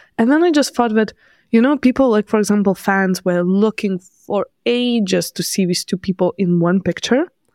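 The speaker has a non-native accent, a moderate pace and ordinary pitch variation. The sound is dry and close with no echo, the recording very clean over a silent background. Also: woman, medium pitch for a woman. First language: not English. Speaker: podcast co-host and video creator. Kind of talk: casual chat.

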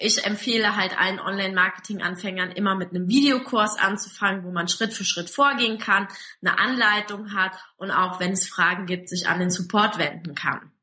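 A woman's intonation stays fairly even. Hers is an unremarkable speaking voice, pitched in the medium range. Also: moderate pace. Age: 20s. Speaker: online marketing entrepreneur. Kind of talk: interview.

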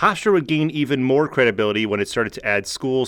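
This man has an ordinary speaking voice with an American accent. His pitch sits in the medium range. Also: very clean recording, silent background. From New Jersey, New York City area. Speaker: sports podcaster / YouTuber. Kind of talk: scripted narration.

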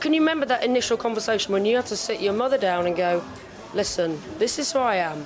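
Crowd noise sits behind a woman talking at a very fast pace. Her fairly high voice swings very widely in pitch. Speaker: podcast host. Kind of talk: casual interview chat. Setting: backstage.

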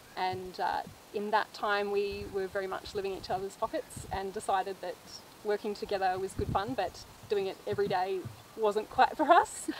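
Here is a woman with an Australian accent. Her pitch sits in the medium range. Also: ordinary pitch variation, moderate pace. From Australia, northern Victoria. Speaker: farmer and mother. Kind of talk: casual chat.

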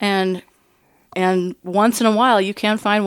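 This woman has a plain, everyday voice. She keeps a moderate pace and fairly even intonation. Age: 40s. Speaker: hunter. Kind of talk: casual chat.

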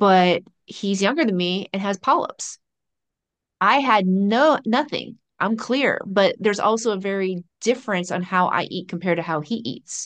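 A woman speaks at a medium pitch and a moderate pace, with lively intonation and an ordinary speaking voice. The sound is dry and close with no echo, over a quiet background. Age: 50s. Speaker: pharmacist and nutrition coach. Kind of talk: casual chat.

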